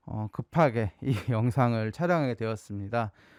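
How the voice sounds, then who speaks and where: No echo touches this dry, close sound. The background is silent and the recording very clean. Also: man. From South Korea, Gyeongsang region. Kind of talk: casual storytelling to camera.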